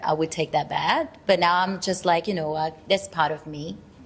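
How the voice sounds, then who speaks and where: A woman with a Brazilian accent. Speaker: actor. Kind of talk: casual chat. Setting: studio. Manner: halting.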